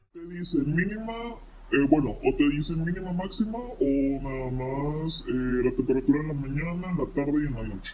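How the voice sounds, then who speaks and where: Audible room echo and noticeable background noise surround a man who speaks at a moderate pace with a fairly high pitch and ordinary pitch variation. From Monterrey area, Mexico. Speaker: weather social media creator. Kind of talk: casual chat.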